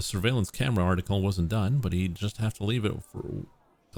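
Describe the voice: Someone reads plainly aloud. Pitch shifts in an ordinary way.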